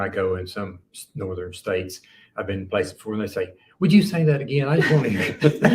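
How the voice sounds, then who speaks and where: Talking at a very fast pace, a man with a slight Middle Tennessee accent uses lively intonation. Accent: Middle Tennessee Southern accent, slight. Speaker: crime author. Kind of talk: casual chat. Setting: live recording at a writers conference.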